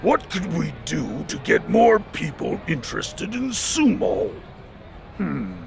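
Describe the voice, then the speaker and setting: A man puts on a character voice and speaks at a fairly slow pace against clear background noise. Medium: video game. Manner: boastful, loud.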